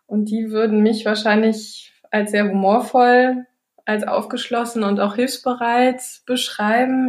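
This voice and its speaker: Her intonation fairly even, a woman speaks in a fairly high pitch. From northern Germany, Baltic coast. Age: 30s. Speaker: family nutrition consultant, company founder. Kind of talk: podcast interview. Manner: hesitant, many fillers.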